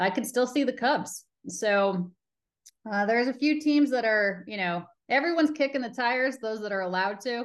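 A woman with a plain, everyday voice and an American accent talks at a fairly quick pace with lively intonation against a quiet background. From Colorado. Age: 40s. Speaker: baseball TV reporter and host. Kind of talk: casual interview chat.

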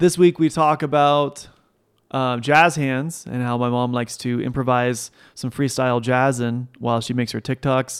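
The man has an ordinary speaking voice of medium pitch. He goes at a moderate pace with fairly even intonation. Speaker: podcast co-host, son of S1. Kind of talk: casual chat. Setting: kitchen table, home.

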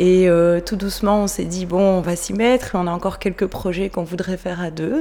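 A woman at a medium pitch talks at a moderate pace, with noticeable noise in the background. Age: 30s. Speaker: midwife. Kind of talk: interview.

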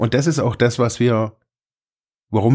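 Speaking at a fairly quick pace with ordinary pitch variation, a man comes through in a very clean recording with a silent background. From German-speaking region, small village. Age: 40s. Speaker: social worker and podcast host. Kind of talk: solo podcast monologue. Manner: halting, many fillers and repetitions.

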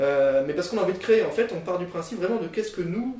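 Very fast speech with audible room echo comes through noticeable background noise. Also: man. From France, Nancy (Lorraine). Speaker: editor-in-chief of a marketing media outlet. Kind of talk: podcast interview. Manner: halting, many repetitions and fillers.

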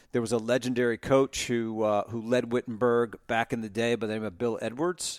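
Here a man uses a normal speaking voice with an American accent, at a medium pitch and moderate pace. The sound is dry and close, with no echo. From New Jersey, US. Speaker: financial firm founder and philanthropist. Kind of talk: casual podcast interview.

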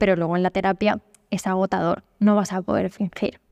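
A woman's dark, mellow tone at a fairly slow pace on a very clean recording with a silent background. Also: dry, close sound with no echo. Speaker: psychologist. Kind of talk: interview. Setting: hostel hall in Barcelona.

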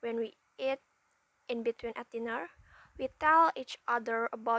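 With an Indonesian accent, a woman speaks at a fairly high pitch with ordinary pitch variation. The sound is dry and close, with no echo. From Indonesia, West Java. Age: young. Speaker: university student. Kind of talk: prepared self-introduction. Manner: halting.

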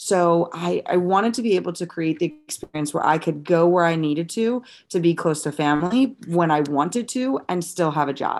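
A woman with a Midwestern American accent talks at a fairly low pitch, with hardly any pauses. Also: ordinary pitch variation, moderate pace, very clean recording, silent background. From US Midwest, St. Louis, Missouri. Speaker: dietitian and wellness coach. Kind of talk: podcast interview.

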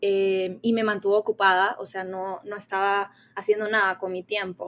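Fairly slow, monotone, flat delivery from a woman at medium pitch. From Honduras. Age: 20s. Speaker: university student. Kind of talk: casual chat.

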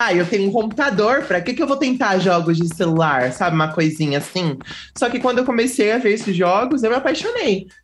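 Against noticeable background noise, a woman talks at a fairly quick pace with very wide pitch swings and very even loudness. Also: medium pitch for a woman. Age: 20s. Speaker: streamer and youtuber. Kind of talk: casual chat.

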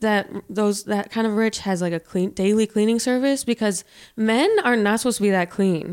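A woman's fairly high voice, a plain, everyday voice, with ordinary pitch variation and a moderate pace. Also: very even loudness, very clean recording, silent background. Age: 30s. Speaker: podcast host. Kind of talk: casual chat. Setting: living room.

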